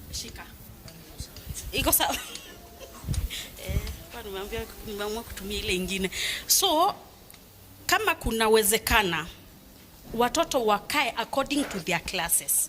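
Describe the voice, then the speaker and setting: A woman with a Kenyan accent speaks at a moderate pace in a fairly high voice with very wide pitch swings. She leaves long, frequent pauses, and background noise is noticeable. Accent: Kenyan English with Swahili code-switching. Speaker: parent. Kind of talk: public meeting remarks. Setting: school parents meeting. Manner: loud.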